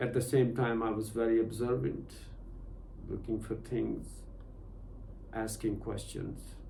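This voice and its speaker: In a room with audible echo, a man with a Punjabi accent and a medium-pitched voice with vocal fry talks at a fairly slow pace, with ordinary pitch variation and long, frequent pauses. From Pakistan, Punjab. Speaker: meditation and spiritual teacher. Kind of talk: personal testimony in a meditation session. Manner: halting, many fillers.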